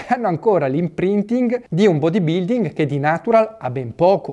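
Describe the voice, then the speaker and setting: With a high pitch and a dark, mellow tone, a man talks at a moderate pace with lively intonation against a quiet background. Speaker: fitness channel host. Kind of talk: opinion talk to camera. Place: home room.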